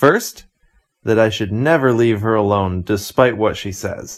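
An unremarkable speaking voice with an American accent, at a fairly slow pace, on a very clean recording with a silent background. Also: man. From United States. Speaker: podcast host. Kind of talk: scripted narration.

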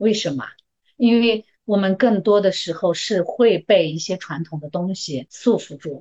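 A woman with an unremarkable speaking voice and medium pitch talks at a fairly slow pace. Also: lively intonation. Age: 50s. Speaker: medical worker. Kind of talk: casual chat.

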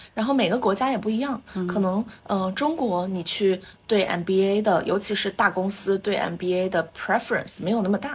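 A woman's somewhat breathy, medium-pitched voice. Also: ordinary pitch variation, moderate pace. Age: 20s. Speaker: MBA graduate and entrepreneur. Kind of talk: casual interview chat.

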